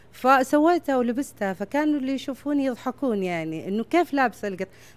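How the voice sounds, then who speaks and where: A woman talks with very wide swings in pitch. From Saudi Arabia. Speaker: fashion designer. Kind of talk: interview. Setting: at home. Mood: proud, warm. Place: home room. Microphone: handheld.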